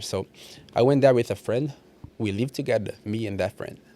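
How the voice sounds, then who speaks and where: Speaking at a moderate pace with a Portuguese accent, this man has a medium-pitched voice, a dark, mellow tone and ordinary pitch variation. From Brazil. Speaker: personal trainer. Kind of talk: casual podcast interview. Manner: halting, repeating words.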